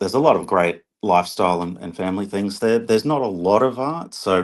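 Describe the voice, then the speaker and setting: A man's fairly low voice shows ordinary pitch variation over a quiet background. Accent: Australian. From Australia, Brisbane. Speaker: artist. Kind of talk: interview. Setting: online live stream.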